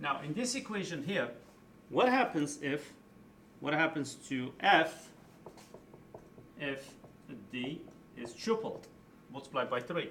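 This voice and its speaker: Room echo is audible as a man speaks at a fairly high pitch. He leaves long, frequent pauses. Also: fairly slow pace. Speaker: high school physics teacher. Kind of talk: tutorial. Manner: casual, explanatory.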